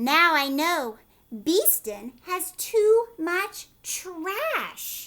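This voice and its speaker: This put-on character voice moves at a very slow pace with very wide pitch swings. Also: woman, extremely high pitch for a woman. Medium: read story.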